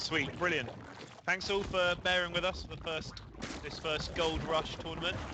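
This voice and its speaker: Amid noticeable background noise, a high-voiced man speaks at a moderate pace in a monotone, flat intonation. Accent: English. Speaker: esports caster. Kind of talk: live commentary.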